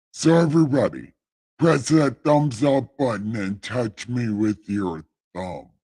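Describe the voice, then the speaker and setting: Slowing to a fairly slow pace, a man does a put-on character voice at a medium pitch. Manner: grand, solemn.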